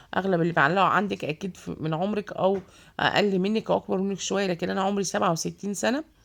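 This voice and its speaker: A woman talks with an Egyptian accent at medium pitch and ordinary pitch variation. The recording is very clean, with a silent background. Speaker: vlogger. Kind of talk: casual vlog. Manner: hesitant, many fillers.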